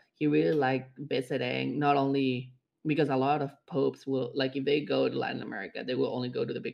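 In a Spanish accent, a man talks at a very fast pace with hardly any pauses. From Mexico. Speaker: podcast co-host. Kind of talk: casual chat.

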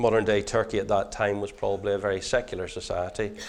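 At a fairly quick pace, a man speaks in a fairly low voice with a Northern Irish accent. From Northern Ireland. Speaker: preacher. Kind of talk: sermon.

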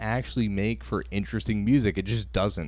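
Someone with an American accent speaks in an animated tone at a moderate pace. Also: man. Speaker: podcast host. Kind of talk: casual chat.

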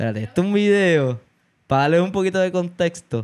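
A man speaks at a fairly quick pace in a Puerto Rican accent. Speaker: podcast host. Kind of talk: casual chat.

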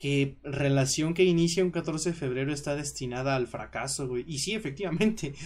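A somewhat breathy, fairly high-pitched man's voice with a Mexican accent and ordinary pitch variation. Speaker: podcast host. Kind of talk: casual chat. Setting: live stream.

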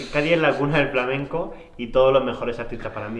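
A man speaks at a very fast pace with ordinary pitch variation. Audible room echo and noticeable background noise are present. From Murcia. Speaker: podcast co-host. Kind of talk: casual chat.

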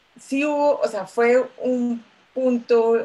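A woman's somewhat breathy voice, dark and mellow in tone, in a Bogotá accent. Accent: Bogotá Colombian Spanish. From Colombia, Bogotá. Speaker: lawyer, migrant. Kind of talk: casual chat.

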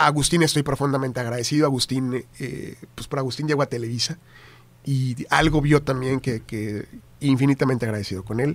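In a normal speaking voice, a man talks at a fairly quick pace and medium pitch, his intonation fairly even. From Tamaulipas, northern Mexico. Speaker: TV news anchor and journalist. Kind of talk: casual interview chat.

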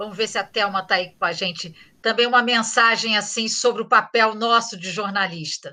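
A bright, sharp tone with fairly even intonation at a moderate pace. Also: woman, fairly high pitch for a woman. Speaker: podcast moderator and journalism professor. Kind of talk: moderated panel discussion.

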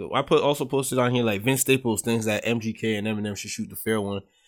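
A man talks at a very fast pace. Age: 20s. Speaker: podcast host. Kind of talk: casual chat.

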